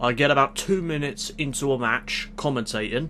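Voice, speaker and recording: A man speaks in an ordinary speaking voice at medium pitch and a moderate pace. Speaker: YouTuber, video game wrestling commentator. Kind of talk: channel update monologue.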